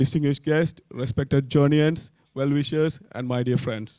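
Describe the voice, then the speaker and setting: With a dry, close sound and no echo, a man speaks at a moderate pace in a dark, mellow tone with ordinary pitch variation. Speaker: association president. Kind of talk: welcome speech. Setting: stage at a gala evening. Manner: formal.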